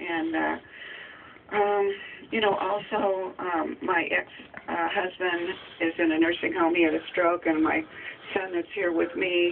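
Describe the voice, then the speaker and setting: Over noticeable background noise, a woman talks at a fairly slow pace. Her fairly low voice holds a monotone, flat intonation. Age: 60s. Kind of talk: radio interview answer. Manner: hesitant, halting.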